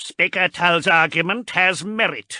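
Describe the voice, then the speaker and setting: A put-on character voice moves at a fairly slow pace with ordinary pitch variation. The sound is dry and close with no echo, over a quiet background. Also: man. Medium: read story.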